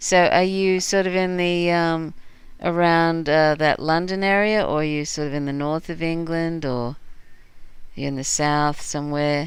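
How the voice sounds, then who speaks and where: A woman at a fairly slow pace, fairly low in pitch and fairly even in intonation, with audible room echo. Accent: Australian. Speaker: livestream host. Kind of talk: casual chat. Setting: live stream.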